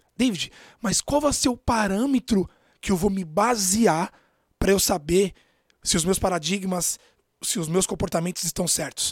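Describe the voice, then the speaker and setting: On a very clean recording with a silent background and a dry, close sound with no echo, a man speaks at a moderate pace in a high voice with ordinary pitch variation. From São Paulo, Brazil. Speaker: podcast host, self-development coach. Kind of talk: motivational monologue.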